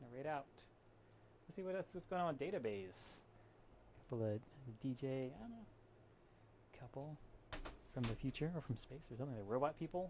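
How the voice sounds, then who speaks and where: A soft-spoken man with a fairly high pitch, a fairly quick pace, and long, frequent pauses. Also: lively intonation. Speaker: live streamer. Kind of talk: casual stream sign-off. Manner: relaxed.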